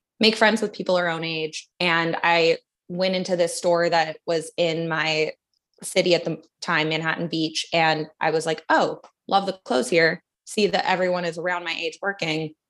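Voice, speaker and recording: This is a plain, everyday voice from a woman, fairly low in pitch. She keeps a moderate pace and fairly even intonation. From Canada, Vancouver. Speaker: advertising producer and art director. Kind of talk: casual interview.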